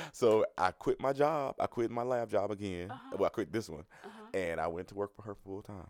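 A man with a fairly low pitch talks at a fairly quick pace, with hardly any pauses and ordinary pitch variation. His loudness swings widely, and the sound is dry and close with no echo. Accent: Southern US. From US South, Dawson, Georgia. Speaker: hairstylist and entrepreneur. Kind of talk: casual interview. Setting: studio.

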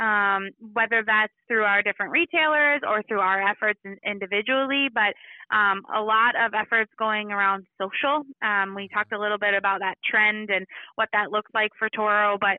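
Speaking in a slight Minnesota accent, a woman has a fairly high pitch. Her pace is moderate and her pitch varies in an ordinary way. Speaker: marketing manager. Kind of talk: interview. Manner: frequent fillers (um, uh).

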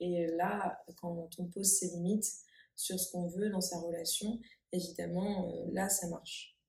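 A woman of medium pitch speaks at a very slow pace in a somewhat breathy voice with a dark, mellow tone and monotone, flat intonation. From France. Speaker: therapist. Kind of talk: casual conversation.

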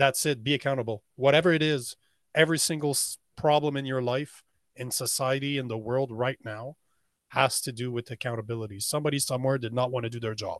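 An ordinary speaking voice from a man at a medium pitch, fairly even in intonation, with a dry, close sound with no echo and a quiet background. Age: 40s. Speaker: men's coach and podcast host. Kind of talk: casual interview.

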